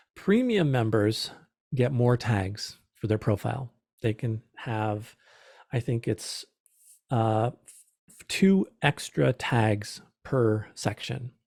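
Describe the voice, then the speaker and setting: At a very slow pace, a somewhat breathy voice with ordinary pitch variation and big swings in loudness comes through a very clean recording with a silent background, the sound dry and close with no echo. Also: man, medium pitch for a man. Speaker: small business presenter. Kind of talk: presentation.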